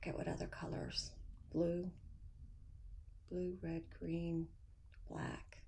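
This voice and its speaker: Quiet and somewhat breathy, a woman speaks in a monotone, flat intonation with audible room echo. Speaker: cross-stitch video host. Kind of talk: casual chat. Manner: hesitant, many fillers.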